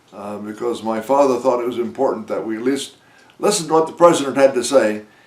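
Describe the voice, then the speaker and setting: With an American accent, a man talks at a very fast pace in a medium-pitched voice with ordinary pitch variation. His loudness swings widely, and there is noticeable background noise. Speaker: war veteran. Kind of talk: interview. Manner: halting, many filler words.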